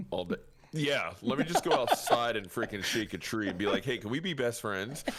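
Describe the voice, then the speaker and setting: Amid noticeable background noise, a man talks at medium pitch with lively intonation and an animated tone. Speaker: gaming streamer. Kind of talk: casual chat.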